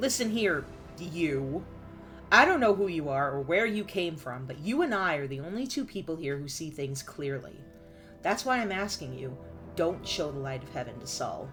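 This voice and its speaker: A put-on character voice at a middle pitch, husky, growling and guttural, with very wide pitch swings, big swings in loudness, a moderate pace and clear music in the background. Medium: game stream. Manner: blunt, cynical.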